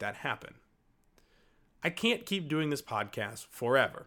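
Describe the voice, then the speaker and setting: An American accent marks this man's bright, sharp tone, which has a medium pitch and very wide pitch swings. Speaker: podcast host. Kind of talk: scripted narration.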